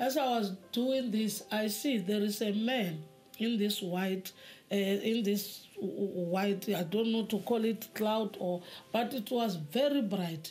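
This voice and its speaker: Spoken at a very slow pace, the somewhat breathy voice holds a very even loudness with ordinary pitch variation. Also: woman. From South Africa. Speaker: former traditional healer giving testimony; interviewee. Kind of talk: testimony. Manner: halting. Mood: earnest, reflective, sometimes animated. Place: home room.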